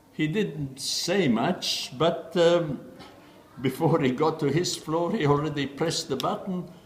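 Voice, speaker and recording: A man speaks at a fairly slow pace with ordinary pitch variation amid noticeable background noise. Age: 70s. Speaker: chess player. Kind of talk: interview answer. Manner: hesitant, reminiscing.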